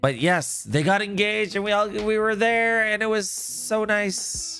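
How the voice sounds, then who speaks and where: A woman speaks fairly slowly at medium pitch with ordinary pitch variation and very even loudness. Noticeable background noise runs behind her. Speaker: gaming live streamer. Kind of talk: live stream chat. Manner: animated.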